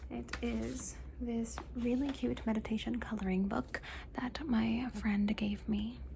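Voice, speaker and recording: The speaker talks at a very slow pace. Noticeable background noise runs underneath. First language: Spanish. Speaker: ASMR content creator. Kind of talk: ASMR show and tell. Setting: home room, ring light. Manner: soft-spoken with repeated trigger words.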